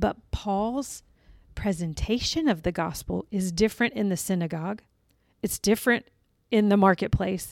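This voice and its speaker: The recording is very clean, with a silent background. A normal speaking voice moves at a moderate pace with ordinary pitch variation. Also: woman. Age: 40s. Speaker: church staff member. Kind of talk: casual chat.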